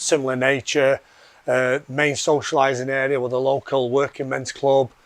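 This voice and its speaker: A man speaks with a Yorkshire accent in a monotone, flat intonation. Noticeable background noise runs underneath. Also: medium pitch for a man, moderate pace. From Yorkshire, England. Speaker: fitness program member. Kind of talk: testimony interview.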